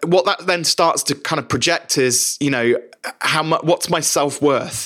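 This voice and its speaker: A man keeps a moderate pace and fairly even intonation in a fairly high voice. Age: 40s. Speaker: business coach and podcast host. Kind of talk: solo podcast monologue.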